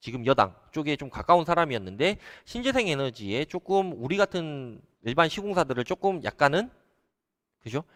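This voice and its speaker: Pitched fairly high, a man talks at a moderate pace with very wide pitch swings. The recording is very clean with a silent background and a dry, close sound with no echo. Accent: Jeolla. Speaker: solar company CEO. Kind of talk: live stream talk to viewers. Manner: hesitant, filler-heavy.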